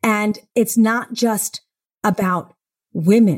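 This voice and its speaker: On a very clean recording with a silent background, a woman speaks at medium pitch, somewhat breathy. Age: 60s. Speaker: CEO of a women's equality company. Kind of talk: interview. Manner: animated.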